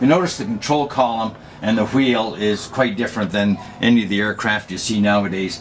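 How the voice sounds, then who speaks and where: A man with a Canadian accent speaks fairly quickly at a fairly low pitch with ordinary pitch variation. Noticeable background noise is present. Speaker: retired air force pilot. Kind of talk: guided aircraft tour. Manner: halting, many fillers.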